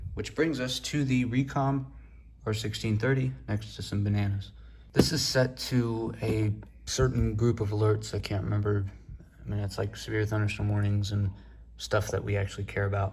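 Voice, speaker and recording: Soft-spoken and somewhat breathy, a man talks at a moderate pace and fairly low pitch with lively intonation. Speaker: radio and weather alert hobbyist. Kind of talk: casual room tour. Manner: quiet, soft-spoken.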